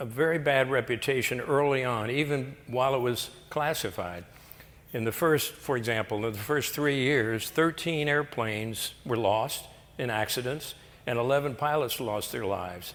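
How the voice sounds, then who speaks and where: An American accent at a moderate pace, with audible room echo. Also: man, medium pitch for a man, ordinary pitch variation. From Florida. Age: 90. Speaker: retired air force pilot. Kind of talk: lecture.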